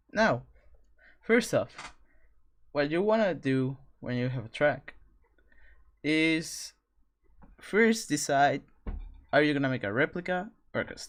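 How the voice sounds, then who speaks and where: The speaker has a non-native accent and a fairly slow pace with long, frequent pauses. The recording is very clean, with a silent background. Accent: foreign accent, non-native English. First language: not English. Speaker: streamer teaching 3D track modeling. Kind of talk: live stream tutorial. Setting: live stream. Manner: halting, with self-corrections.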